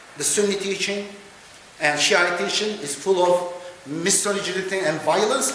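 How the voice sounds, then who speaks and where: A man speaks in a raised, projected voice with a high pitch and ordinary pitch variation, with audible room echo and noticeable background noise. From Turkey, Kurdish background. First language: Kurdish. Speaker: professor and keynote speaker. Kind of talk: lecture. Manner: hesitant, with fillers.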